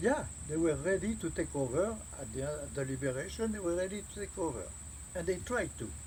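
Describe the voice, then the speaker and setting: Fairly quick speech with a French accent. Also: man. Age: 80s+. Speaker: war veteran. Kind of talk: interview answer.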